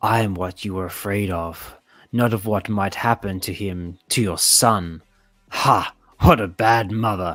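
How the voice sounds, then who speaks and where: Using a put-on character voice, a man talks at a fairly slow pace with fairly low pitch and fairly even intonation. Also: very clean recording, silent background. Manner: sinister, taunting.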